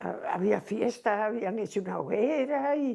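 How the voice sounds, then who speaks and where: Very slowly, a woman speaks in a fairly high pitch with lively intonation and a dark, mellow tone. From Cantabria, Spain. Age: 80s+. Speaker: seamstress. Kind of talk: oral history interview answer.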